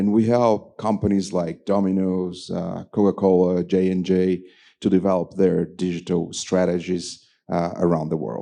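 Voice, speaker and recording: Against a quiet background, a man with a Portuguese accent speaks at a moderate pace in a very deep, low voice with a dark, mellow tone and fairly even intonation. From Brazil. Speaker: business executive. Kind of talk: panel discussion.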